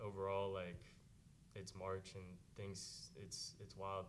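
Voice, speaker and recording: A man speaks at a fairly low pitch with fairly even intonation. The room echo is audible. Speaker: college basketball player. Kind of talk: press conference.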